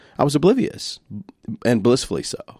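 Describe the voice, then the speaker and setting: A man speaks with a Louisiana accent. His pace is fairly quick. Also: very clean recording, silent background. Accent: Southern US (Louisiana). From US South, Shreveport, Louisiana. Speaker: singer-songwriter. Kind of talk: casual chat.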